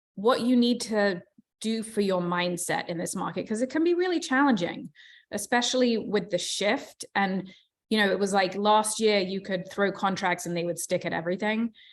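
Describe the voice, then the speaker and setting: In a British accent, a woman of medium pitch speaks at a moderate pace with ordinary pitch variation on a very clean recording with a silent background. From England. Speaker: real estate agent and team leader. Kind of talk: motivational talk.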